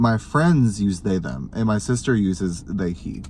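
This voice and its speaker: A man speaks fairly slowly in a fairly low voice. His intonation is lively. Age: 20s. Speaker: vlogger. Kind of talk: casual chat.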